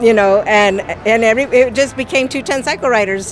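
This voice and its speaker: A woman talks at a moderate pace with ordinary pitch variation. The sound is dry with no echo, with faint music in the background. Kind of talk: interview answer. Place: street. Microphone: handheld.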